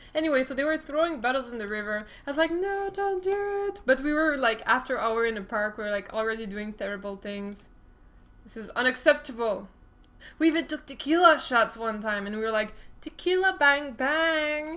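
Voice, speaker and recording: A woman with a French Canadian accent, high-pitched, at a fairly quick pace, with very wide pitch swings and big swings in loudness. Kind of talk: casual talk to camera. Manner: upbeat, playful.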